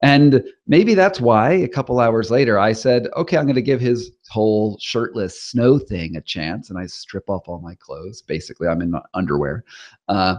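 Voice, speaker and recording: An unremarkable speaking voice, a man at medium pitch talks with an American accent, lively intonation, and big swings in loudness at a moderate pace over a quiet background. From US Northeast (Rhode Island). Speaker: investigative journalist and author. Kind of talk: interview.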